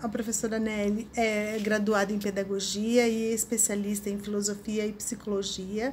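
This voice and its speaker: The voice is somewhat breathy, delivered at a moderate pace with monotone, flat intonation. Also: woman. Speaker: interviewer, host. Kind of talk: interview introduction.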